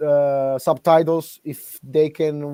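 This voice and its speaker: With an Italian accent, a man speaks at a fairly high pitch in a dark, mellow tone with monotone, flat intonation and a dry, close sound with no echo. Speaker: podcast interviewer. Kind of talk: interview. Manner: halting.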